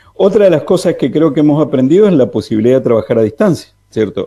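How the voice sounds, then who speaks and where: A man speaks. His tone is dark and mellow. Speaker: economics commentator. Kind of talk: radio interview commentary. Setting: remote call into radio. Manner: soft-spoken.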